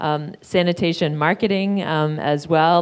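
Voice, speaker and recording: At a fairly slow pace, a woman talks in a plain, everyday voice, fairly low in pitch with ordinary pitch variation. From Canada. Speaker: panel moderator. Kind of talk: moderated panel discussion. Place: hall. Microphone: handheld.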